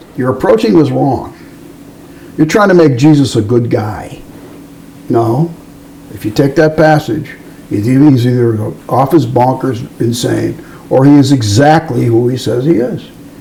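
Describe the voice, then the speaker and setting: With noticeable background noise behind him, a man of medium pitch speaks at a moderate pace with ordinary pitch variation and long, frequent pauses. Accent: American. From US Midwest, Evanston, Illinois. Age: 70s. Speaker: musician and record producer. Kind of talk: casual interview chat.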